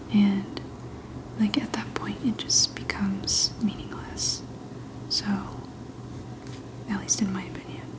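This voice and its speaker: Whispering in a relaxed tone, a woman leaves long, frequent pauses over noticeable background noise. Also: fairly slow pace. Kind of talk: ASMR soft-spoken affirmations chat. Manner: soft-spoken, whispery, relaxed.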